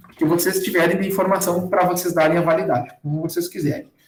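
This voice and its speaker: A man with a high pitch speaks, and audible room echo is heard. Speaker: university lecturer teaching a workshop. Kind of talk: online tutorial. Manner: fast.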